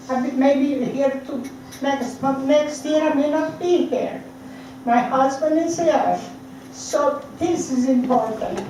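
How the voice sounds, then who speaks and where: A woman with a high pitch speaks at a very slow pace with fairly even intonation, accompanied by noticeable background noise and audible room echo. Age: 80s+. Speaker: citizen speaking at council meeting. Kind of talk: public comment. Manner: halting.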